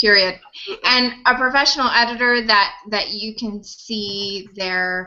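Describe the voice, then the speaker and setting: This woman has a plain, everyday voice. Her pitch is medium and her intonation fairly even. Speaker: author. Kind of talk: casual chat.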